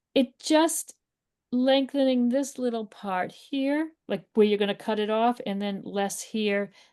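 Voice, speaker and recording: A woman with a Boston accent speaks slowly-ish in a dark, mellow, fairly high voice with ordinary pitch variation. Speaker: art teacher. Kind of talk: live painting class. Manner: casual, encouraging.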